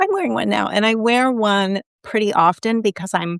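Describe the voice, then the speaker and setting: Using a normal speaking voice, a woman talks at a moderate pace with lively intonation, the sound dry and close with no echo. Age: 50s. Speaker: recipe developer. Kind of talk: casual chat. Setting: live stream.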